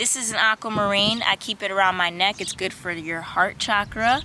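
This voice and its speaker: Over noticeable background noise, a woman with a medium pitch and ordinary pitch variation speaks in an animated tone. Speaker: spirituality vlogger. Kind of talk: casual Q&A monologue. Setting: outdoors in a park.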